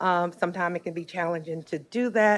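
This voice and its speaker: Here a woman talks with a Southern US accent and fairly even intonation. The recording is very clean, with a silent background. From Alabama. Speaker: nonprofit executive director. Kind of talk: public testimony at a county board meeting. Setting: county board meeting room.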